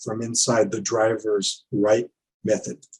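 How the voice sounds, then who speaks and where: At a fairly slow pace, a man speaks in a somewhat breathy voice. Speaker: conference presenter, verification consultant. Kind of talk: technical conference presentation; Q&A answers. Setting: virtual conference. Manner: halting, many fillers; quiet.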